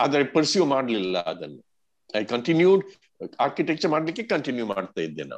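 A man's fairly high voice with vocal fry and very wide pitch swings, at a fairly quick pace. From Karnataka, India (Mangalore). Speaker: cartoonist. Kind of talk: interview. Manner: rambling, code-switching.

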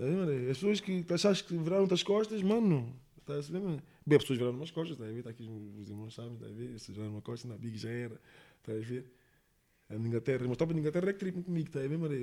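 A man speaks very fast in a dark, mellow tone at a fairly high pitch, with very wide pitch swings and big swings in loudness. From Portugal, Monte da Caparica (Almada), lived in England. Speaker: rapper. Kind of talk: casual interview. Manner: slangy, repetitive filler (está a saber, mano).

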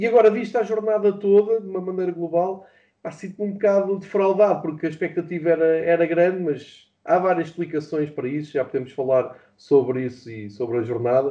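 A man with a European Portuguese accent talks at a fairly quick pace in a high voice. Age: 40s. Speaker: football fan and pundit. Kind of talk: casual chat. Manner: halting.

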